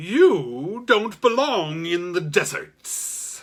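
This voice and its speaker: Very slowly, in a put-on character voice, the speaker swings very widely in pitch. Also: man, high pitch for a man. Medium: read story. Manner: slow, smooth, knowing.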